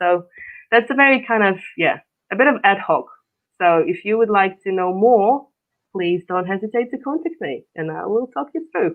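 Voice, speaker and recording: The speaker has a Russian accent and keeps a moderate pace. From Russia, Far East. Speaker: coach. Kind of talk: interview. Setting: live stream.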